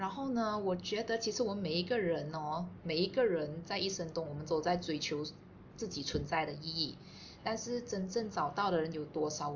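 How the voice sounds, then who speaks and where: A woman's fairly low voice, lively in intonation, at a moderate pace with audible room echo. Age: 30s. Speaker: podcast co-host, office worker. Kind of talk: casual chat.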